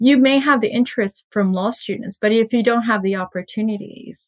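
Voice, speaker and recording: In a dry, close sound with no echo, a woman speaks at a moderate pace, somewhat breathy, with ordinary pitch variation. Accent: American. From Saudi Arabia and California, US. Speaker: in-house lawyer. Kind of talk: interview.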